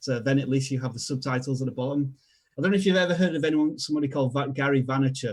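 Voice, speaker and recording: Somewhat breathy, a man with a Yorkshire accent speaks at a medium pitch with fairly even intonation. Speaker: video strategy expert. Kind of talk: tutorial. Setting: live stream.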